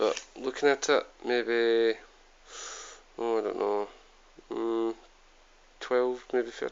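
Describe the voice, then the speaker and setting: A man with a Scottish accent at a very slow pace, with long, frequent pauses. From Scotland. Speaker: YouTube product reviewer. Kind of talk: product review. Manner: hesitant, many fillers. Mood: relaxed, informal. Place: home room. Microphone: phone near.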